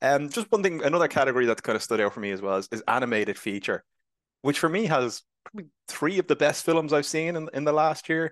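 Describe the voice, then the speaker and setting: The dry, close recording with no echo captures a man talking at a very fast pace with very wide pitch swings. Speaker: film podcast host. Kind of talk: casual chat about films.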